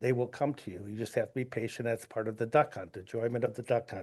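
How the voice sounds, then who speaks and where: Against a quiet background, a man with an American accent talks at a very fast pace, at a medium pitch and with fairly even intonation. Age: 60s. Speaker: duck hunter giving public comment. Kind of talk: public comment at board meeting.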